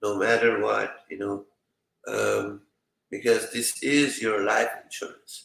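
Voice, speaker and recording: A man with a Middle Eastern accent at a very slow pace. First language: a Middle Eastern language. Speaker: survival prepping channel host. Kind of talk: live stream chat reading viewer comments. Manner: hesitant, many fillers.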